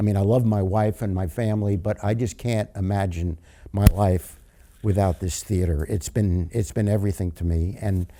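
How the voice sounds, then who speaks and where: With an American accent, a man speaks at fairly low pitch and a moderate pace. His tone is dark and mellow, with fairly even intonation. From New York. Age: 80s+. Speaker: community theater actor and director. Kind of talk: casual interview. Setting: inside a theater. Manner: halting, with many repeated words.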